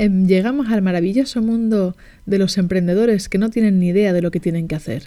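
With a Spanish accent, a woman speaks at a fairly slow pace in a dark, mellow tone, with medium pitch and ordinary pitch variation. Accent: Spanish (Spain), Peninsular. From Barcelona, Spain. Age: 40. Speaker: life coach, podcast host. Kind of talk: personal storytelling monologue.

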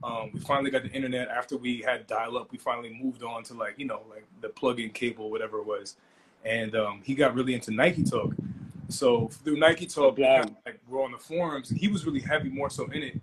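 Very fast male voice of medium pitch in a New York accent, with ordinary pitch variation and big swings in loudness. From Long Island, New York. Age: 20s. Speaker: food and streetwear entrepreneur. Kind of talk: casual interview. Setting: Instagram Live.

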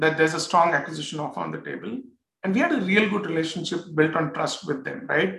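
An Indian-accented man with a high pitch, lively intonation and a fairly quick pace. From northern India. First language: Hindi. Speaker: tech startup founder and executive. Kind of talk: interview.

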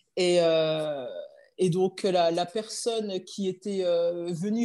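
The recording has a quiet background. A woman speaks in a dark, mellow tone. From France, Dijon. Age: 30s. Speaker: former professional handball player. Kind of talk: interview. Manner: hesitant, many fillers.

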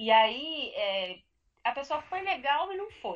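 Her pitch swings very widely as this woman speaks. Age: 30s. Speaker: coach. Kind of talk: live podcast discussion. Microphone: connection freezing.

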